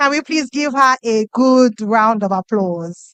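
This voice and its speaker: With a Nigerian accent, the speaker uses lively intonation at a fairly slow pace, the sound dry and close with no echo. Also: woman. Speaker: event emcee. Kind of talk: event emceeing. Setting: stage with audience.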